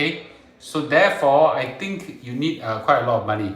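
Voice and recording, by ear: A man's fairly bright voice with lively intonation, wrapped in strong room echo. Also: medium pitch for a man, moderate pace.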